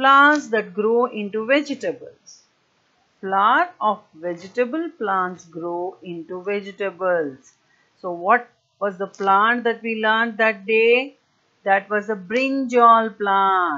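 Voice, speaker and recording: Lively intonation marks a woman's bright, sharp voice at a very slow pace. The background is quiet. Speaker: primary school teacher. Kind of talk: online lesson for young children. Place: home room. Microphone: earbuds.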